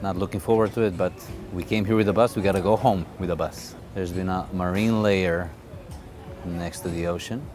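Against faint music in the background, a man speaks at a moderate pace in a very deep, low voice with ordinary pitch variation and a dry sound with no echo. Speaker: fitness vlogger. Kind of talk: casual vlog chat. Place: street. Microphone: phone near.

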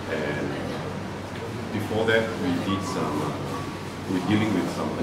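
A man talks at a fairly slow pace over loud background noise, with audible echo in the room. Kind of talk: interview answer. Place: cafe. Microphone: camera far.

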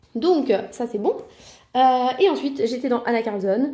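This woman's voice has a dark, mellow tone. Her pitch swings very widely. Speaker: colouring hobby vlogger. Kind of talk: casual vlog monologue. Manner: casual, relaxed, hesitant with filler words.

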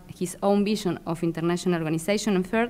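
Ordinary pitch variation marks the speech of a woman with a Spanish accent. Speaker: international law scholar; panelist. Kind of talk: academic presentation. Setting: symposium in a library. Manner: halting. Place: hall.

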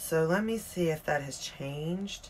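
There is light background noise. A woman speaks at a very slow pace. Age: 40s. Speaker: beauty YouTuber. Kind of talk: casual makeup tutorial. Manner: animated. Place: home room. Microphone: phone near.

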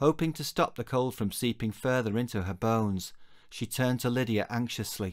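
The delivery is an unforced reading voice. It sounds like an unforced reading voice throughout.

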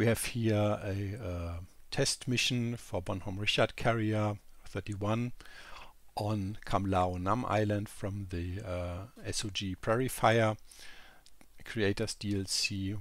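Speaking at a very slow pace, a man with a strong German accent uses a fairly low pitch and fairly even intonation on a very clean recording with a silent background. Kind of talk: casual gameplay commentary.

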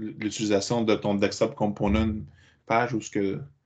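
In a Quebec accent, a man speaks at a moderate pace against a quiet background. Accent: Québécois French. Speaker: meetup organizer; meetup host. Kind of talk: casual chat. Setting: video call. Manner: halting. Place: home room. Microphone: headset.

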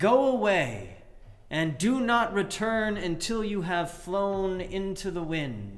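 Speaking very slowly, a man talks in a high pitch. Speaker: preacher. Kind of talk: sermon delivering a fairy tale. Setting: livestream sermon during church closure. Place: church. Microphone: webcam.

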